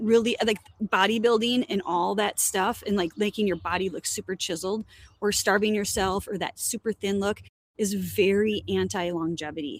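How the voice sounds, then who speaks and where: A woman talks in an ordinary speaking voice at a moderate pace and medium pitch, with ordinary pitch variation. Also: dry, close sound with no echo. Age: 50s. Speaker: educator and company co-founder. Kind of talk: casual chat.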